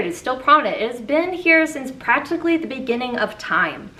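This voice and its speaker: Raised, projected female voice, high in pitch with lively intonation at a fairly quick pace over noticeable background noise. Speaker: YouTuber, musical theatre video essayist. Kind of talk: casual video review monologue. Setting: home recording with fans and AC off.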